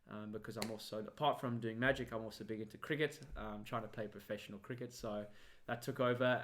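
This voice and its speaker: A man speaks with a South African accent at a medium pitch. His pace is fairly quick. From South Africa, Cape Town. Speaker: magician. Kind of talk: interview.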